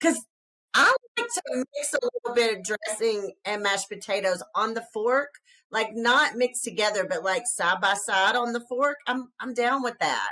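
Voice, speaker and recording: This speaker with a Southern US accent has an animated, bright and sharp tone with ordinary pitch variation. The pace is moderate, and the sound is dry and close with no echo. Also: woman, fairly high pitch for a woman. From US South. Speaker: podcast co-host. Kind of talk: casual podcast chat.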